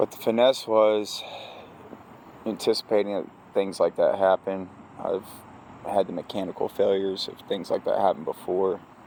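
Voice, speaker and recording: Male speech at a moderate pace with long, frequent pauses, over noticeable background noise. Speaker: crane operator, vlogger. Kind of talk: casual vlog monologue.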